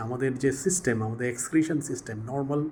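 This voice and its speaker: Vocal fry marks this man's speech, and his pitch swings very widely. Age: 60s. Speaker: health vlogger. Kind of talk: informal talk to camera. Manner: halting, many pauses and restarts.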